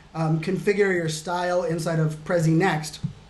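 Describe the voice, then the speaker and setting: With noticeable background noise and audible room echo, a man talks at a high pitch in a monotone, flat intonation. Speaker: digital futurist and keynote speaker. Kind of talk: screen-share tutorial. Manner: fast; casual, many fillers.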